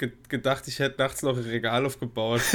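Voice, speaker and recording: Intonation stays monotone and flat. The recording is very clean, with a silent background. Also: man. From Saarland. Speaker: podcast co-host. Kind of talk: casual chat.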